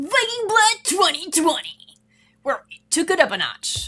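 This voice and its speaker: At a moderate pace, this put-on character voice sits at an extremely high pitch. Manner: dramatic promo-style.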